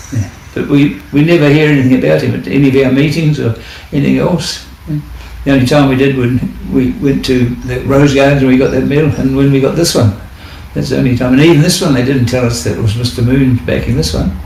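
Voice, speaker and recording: A man talks at a very fast pace with a New Zealand accent and ordinary pitch variation. Noticeable background noise and audible room echo are present. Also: medium pitch for a man. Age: 80s+. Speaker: war veteran. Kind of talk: interview. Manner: halting.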